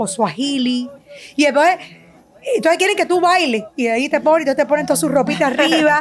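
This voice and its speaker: Noticeable background noise behind a high-pitched woman with lively intonation and a fairly quick pace. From Cuba, Havana. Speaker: sonographer and business owner. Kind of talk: testimony interview.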